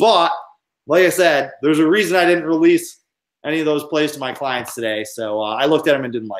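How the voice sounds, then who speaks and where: At a fairly quick pace, a man with an American accent and an ordinary speaking voice talks with lively intonation in a fairly high pitch. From New York. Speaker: sports handicapper. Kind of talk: casual chat. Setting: live video stream.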